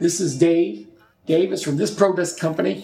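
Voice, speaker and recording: A man with an American accent at a moderate pace, music in the background. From Newark, New Jersey. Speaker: retired healthcare executive. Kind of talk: interview.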